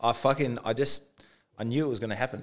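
Speaking very fast with an Australian accent, a man keeps his intonation fairly even against a quiet background. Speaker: podcast co-host. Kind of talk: casual chat. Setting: studio. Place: studio. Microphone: studio mic.

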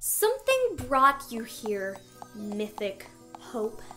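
Slowly and in a put-on character voice, a woman speaks at a fairly high pitch with very wide pitch swings, amid audible room echo and faint background music. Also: fairly bright tone.

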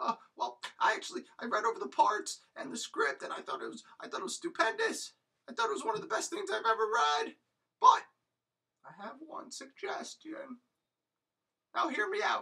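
In a high-pitched cartoonish character voice, the speaker moves at a moderate pace with long, frequent pauses. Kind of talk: comic overacting. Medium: puppet show. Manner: eager, salesy, boastful.

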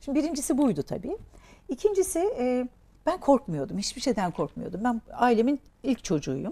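Her voice sits high for a woman, dark and mellow in tone, and swings very widely in pitch. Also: moderate pace. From Turkey, raised in Diyarbakır and the Aegean; Turkey. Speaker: entrepreneur; guest. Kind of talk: interview. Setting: studio. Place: studio.

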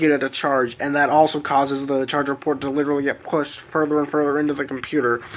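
A man's very fast, monotone delivery with flat intonation. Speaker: vlogger. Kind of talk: casual vlog chat. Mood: mildly frustrated, explaining. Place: home room.

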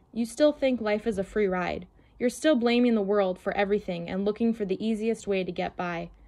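Simple, plain reading aloud.

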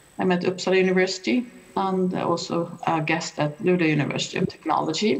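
A woman's fairly low voice at a very fast pace, ordinary pitch variation, and noticeable background noise. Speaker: professor of environmental history. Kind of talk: conference talk. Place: home room. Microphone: video call.

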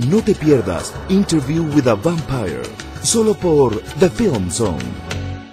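Over music in the background, a man speaks at a very slow pace, his pitch swinging very widely. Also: medium pitch for a man. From Mexico. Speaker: voice actor and announcer. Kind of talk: TV channel promo.

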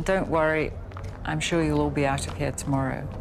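Faint music plays behind a woman as she talks. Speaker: journalist, former hostage. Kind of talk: interview answer. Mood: calm, reflective, serious. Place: studio.

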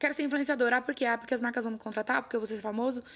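A woman speaks at a high pitch. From São Paulo state, Brazil (São José do Rio Preto); São Paulo, Brazil. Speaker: talent agency owner, former lawyer; former lawyer. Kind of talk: casual interview chat. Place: studio. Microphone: studio mic.

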